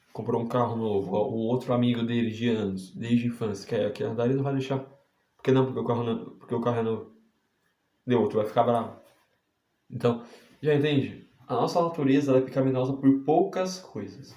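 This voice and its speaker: The voice shows ordinary pitch variation at a fairly quick pace. Audible room echo is present. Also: man, medium pitch for a man. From Brazil, Santa Catarina. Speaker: preacher. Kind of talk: sermon. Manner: animated.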